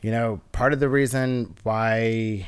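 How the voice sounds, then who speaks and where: In a very clean recording with a silent background, a man with a plain, everyday voice speaks at a medium pitch and a fairly slow pace, keeping a fairly even intonation. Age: 30s. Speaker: artist. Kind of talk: casual chat.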